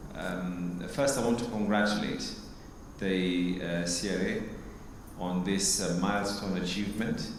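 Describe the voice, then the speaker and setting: A man speaks slowly in a fairly low pitch with fairly even intonation. Room echo is audible, and background noise is noticeable. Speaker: politician. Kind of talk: formal speech. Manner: loud.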